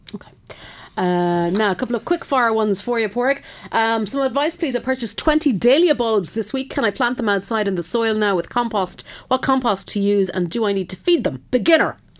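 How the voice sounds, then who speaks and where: A woman speaks with a western Irish accent at a fairly high pitch. Her delivery is fairly quick, with lively intonation. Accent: Irish, west of Ireland. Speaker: radio host. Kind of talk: radio call-in advice show, reading listener questions. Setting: radio studio.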